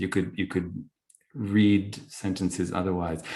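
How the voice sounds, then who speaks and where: A man with a fairly low pitch talks at a fairly slow pace. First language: not English (Arabic or French). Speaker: poet. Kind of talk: Q&A discussion at a book launch. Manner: halting, many restarts.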